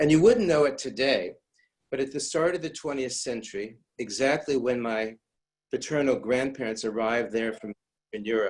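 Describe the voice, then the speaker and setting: Speaking at a moderate pace with an American accent, a man uses an ordinary speaking voice at medium pitch with ordinary pitch variation. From US Midwest, St. Louis, Missouri. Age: 60s. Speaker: rabbi. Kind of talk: lecture.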